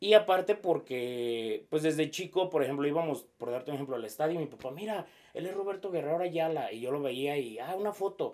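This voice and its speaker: Speaking with a slight Jalisco accent, the man has a fairly high pitch. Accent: slightly rural Jalisco Mexican. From Mexico, Jalisco (Zapotlanejo). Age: 30s. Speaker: sports broadcaster. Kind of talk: interview. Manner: halting, many fillers.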